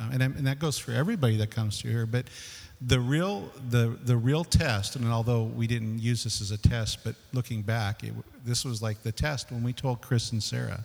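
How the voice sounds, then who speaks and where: With an American accent, a man speaks at a moderate pace in a medium-pitched, somewhat breathy voice with fairly even intonation. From US West, San Fernando Valley, California. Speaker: departing church elder. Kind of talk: testimony. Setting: church.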